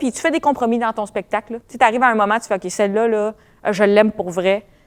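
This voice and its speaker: A woman with a Quebec accent speaks at a fairly high pitch, her voice dry and close with no echo. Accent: Quebec French, family. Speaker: comedian. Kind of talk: casual chat. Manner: fast.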